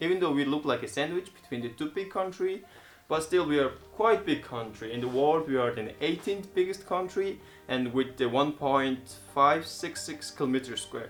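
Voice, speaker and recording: The speech moves at a moderate pace in a Mongolian accent. Background noise is noticeable. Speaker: travel vlogger. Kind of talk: informal explainer video.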